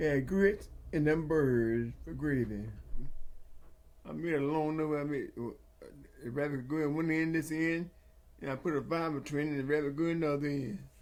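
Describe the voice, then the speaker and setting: With a rural Southern US accent, a man speaks at a moderate pace in a fairly high voice with fairly even intonation and long, frequent pauses. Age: 80s+. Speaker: retired farmer. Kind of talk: interview answer.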